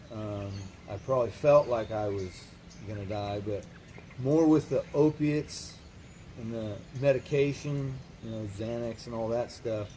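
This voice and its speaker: Somewhat breathy and medium in pitch, a man talks at a fairly slow pace with long, frequent pauses, big swings in loudness, and ordinary pitch variation. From California. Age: 30s. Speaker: recovering addict. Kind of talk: interview. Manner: hesitant, many fillers.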